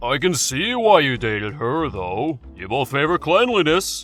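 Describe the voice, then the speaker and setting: Over clear music in the background, a man performs a put-on character voice at a fairly high pitch and moderate pace, with very wide pitch swings. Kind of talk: comic dub dialogue.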